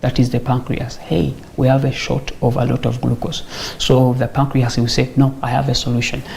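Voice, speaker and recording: A man at a moderate pace in a monotone, flat intonation, with noticeable background noise. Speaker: medical doctor. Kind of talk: health talk show interview explaining diabetes.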